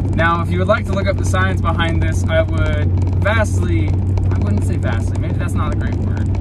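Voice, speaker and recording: Loud background noise under a man talking at a fairly quick pace. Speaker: vlogger driving. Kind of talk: casual vlog chat. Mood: playful, joking. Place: car. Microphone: phone near.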